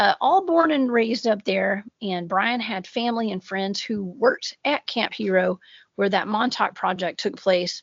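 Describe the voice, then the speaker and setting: A woman talks in a strong Southern US accent at a fairly slow pace. Her pitch is medium, with ordinary variation. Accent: heavy Southern US. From US South. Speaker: cryptid researcher and podcaster. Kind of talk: casual podcast chat.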